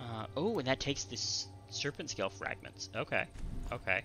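A man at a fairly slow pace with ordinary pitch variation, clear music playing behind him. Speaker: game streamer. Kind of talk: gameplay commentary.

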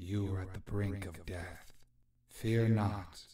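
A put-on character voice moves at a fairly slow pace. Echo can be heard in the recording. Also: man. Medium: dub. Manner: calm, solemn.

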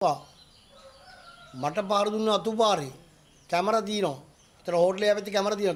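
Here a man speaks with a high pitch and ordinary pitch variation. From Sri Lanka. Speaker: assault victim speaking to media; politician at press conference. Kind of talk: media statement. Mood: indignant, accusing. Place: home room. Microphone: handheld.

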